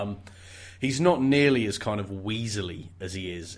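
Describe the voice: A plain reading aloud of text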